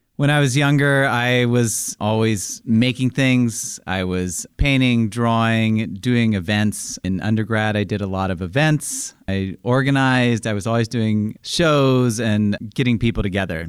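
At a fairly slow pace, a man uses a normal speaking voice at medium pitch with ordinary pitch variation. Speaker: artist and library program organizer. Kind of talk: interview. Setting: library.

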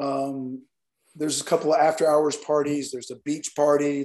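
Speaking with a Southern US accent, a man uses a fairly high pitch. His intonation is monotone and flat. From Alabama. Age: 50s. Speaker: nightlife event promoter. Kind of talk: interview.

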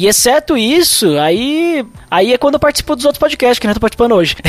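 The sound is dry and close with no echo as a man talks at a fairly quick pace, his pitch swinging very widely, amid noticeable background noise. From southern Brazil, Serra Gaúcha (Rio Grande do Sul). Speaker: podcaster and church youth leader. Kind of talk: casual chat.

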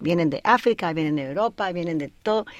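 A woman's normal speaking voice with lively intonation. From Colorado, US. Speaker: air force veteran and author. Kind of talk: radio interview. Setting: studio.

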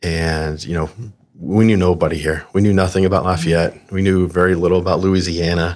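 With an American accent, a man talks at a fairly quick pace in a very deep, low pitch and a monotone, flat intonation. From Arizona, farm town south of Phoenix. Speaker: healthcare staffing executive. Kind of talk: casual interview.

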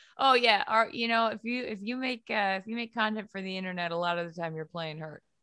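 With a New England accent, a woman talks very fast in a medium-pitched voice with a bright, sharp tone. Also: ordinary pitch variation. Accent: New England American. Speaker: sports media personality and podcast host. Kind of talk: casual interview. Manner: animated.

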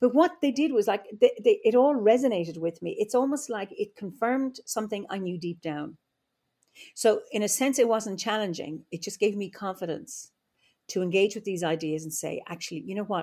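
A woman with an Irish Midlands accent speaks at a moderate pace in a dark, mellow tone, her lively intonation paired with big swings in loudness. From Ireland, Offaly (Midlands). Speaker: druid and psychologist. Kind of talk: interview conversation. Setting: remote call from home.

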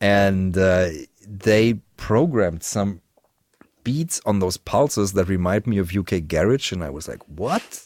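The speaker, with a German accent, goes at a fairly slow pace. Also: man, fairly low pitch for a man, ordinary pitch variation. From Germany. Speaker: musician and YouTuber. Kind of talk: casual chat. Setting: video call.

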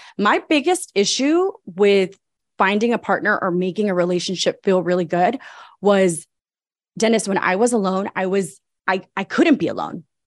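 A woman's animated, medium-pitched voice with ordinary pitch variation at a moderate pace, on a very clean recording with a silent background. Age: 40s. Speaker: life coach. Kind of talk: interview.

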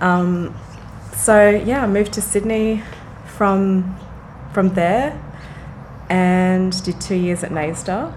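Over noticeable background noise and audible room echo, a woman with an Australian accent speaks very slowly in a medium pitch, with fairly even intonation and long, frequent pauses. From Australia, Frankston near Melbourne. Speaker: dancer and choreographer. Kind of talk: casual interview.

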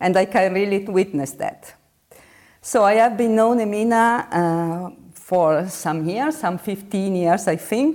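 A woman with an Italian accent speaks at a very slow pace, her intonation lively. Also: medium pitch for a woman. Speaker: university professor, interviewer. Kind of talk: interview. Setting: video call. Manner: halting.

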